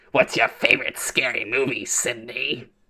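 Someone uses a put-on character voice with a menacing tone. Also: low-to-middle pitch, moderate pace. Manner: creepy, menacing.

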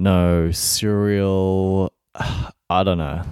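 Very slow and monotone, a man with an Australian accent speaks at a very deep, low pitch in a dark, mellow tone, in a very clean recording with a silent background. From Melbourne, Australia. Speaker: podcast host. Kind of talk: solo podcast monologue. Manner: casual, with many fillers.

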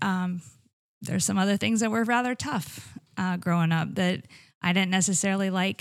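A woman with an ordinary speaking voice, medium pitch and moderate pace, on a very clean recording with a silent background. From Iowa. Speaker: paramedic. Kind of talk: interview.

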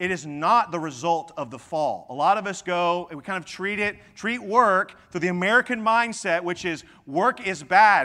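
On a very clean recording with a silent background, a man projects a raised voice at a high pitch, his bright, sharp tone swinging widely in loudness while his pitch varies in an ordinary way at a moderate pace. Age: 40s. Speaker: pastor. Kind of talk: sermon.

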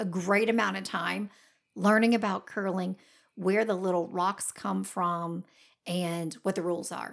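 A woman talks in a normal speaking voice at medium pitch and a moderate pace, her intonation fairly even. The recording is very clean, with a silent background. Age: 40s. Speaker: podcast co-host. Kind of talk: casual chat.

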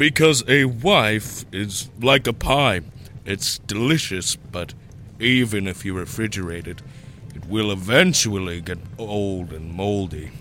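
Over clear background noise, a man with a fairly low pitch speaks fairly slowly, with lively intonation and big swings in loudness. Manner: crude, joking, flippant.

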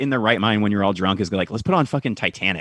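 A man speaks against a quiet background. The sound is dry and close, with no echo. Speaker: podcast guest. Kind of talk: casual chat. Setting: video call. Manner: hesitant, filler-heavy.

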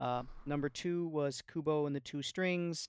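An unremarkable speaking voice at a fairly slow pace with fairly even intonation, dry and close with no echo, on a very clean recording with a silent background. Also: man. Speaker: podcast panelist.

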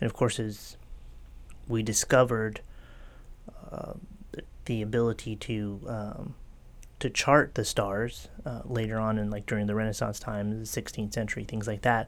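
With an American accent, a man speaks at a fairly low pitch and moderate pace, monotone and flat, with long, frequent pauses. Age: 40s. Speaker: podcast host and metaphysical shop owner. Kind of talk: casual chat.

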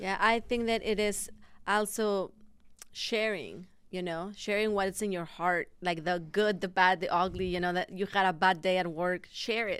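With a Spanish accent, this woman talks at a moderate pace in a medium pitch, her intonation fairly even. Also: very clean recording, silent background. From Mexico. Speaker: pastor. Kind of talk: casual chat.

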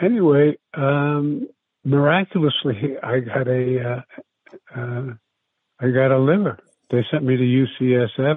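With an American accent, a man speaks very slowly at medium pitch with ordinary pitch variation and long, frequent pauses. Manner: halting, many fillers.

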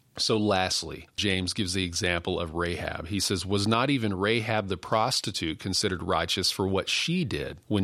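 A man with a Texan accent, a very deep, low pitch, a bright, sharp tone, ordinary pitch variation and a fairly quick pace. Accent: Texan American. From West Texas. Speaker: denominational staff minister and podcast host. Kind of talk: devotional teaching.

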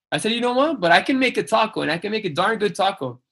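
Very fast and lively in intonation, a man talks in a bright, sharp tone. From Mexican-US border, Calexico (raised there after age six, Mexico City before). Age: 40s. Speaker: chef and restaurant owner. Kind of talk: casual interview chat. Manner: halting, many restarts.

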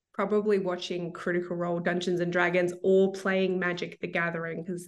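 A woman talks in an Australian accent at a fairly quick pace. Her intonation is monotone and flat, with hardly any pauses. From Melbourne, Australia. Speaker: author. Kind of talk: casual interview. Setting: video call.

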